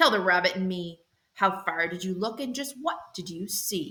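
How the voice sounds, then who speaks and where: A woman puts on a character voice. She growls as she speaks. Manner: growling.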